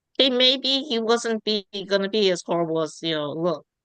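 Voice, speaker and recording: A woman speaks in a plain, everyday voice at a fairly high pitch with lively intonation. The sound is dry and close, with no echo. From United States, child of immigrants. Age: 60s. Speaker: project participant. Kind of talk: casual group discussion. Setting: video call.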